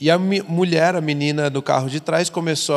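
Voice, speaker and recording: A man's normal speaking voice at a moderate pace, fairly high in pitch, with ordinary pitch variation. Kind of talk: casual chat.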